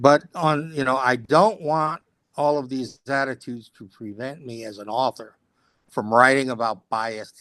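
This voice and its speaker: A man with a medium pitch and ordinary pitch variation talks at a moderate pace in a bright, sharp tone, his loudness swinging widely against a quiet background. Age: 70s. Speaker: author. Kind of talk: casual chat.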